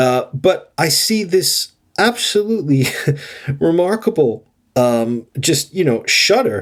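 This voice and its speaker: In an American accent, the speech moves at a very slow pace with very wide pitch swings. The loudness stays very even. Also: man, high pitch for a man. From United States. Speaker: podcast co-host. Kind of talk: casual chat. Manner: halting.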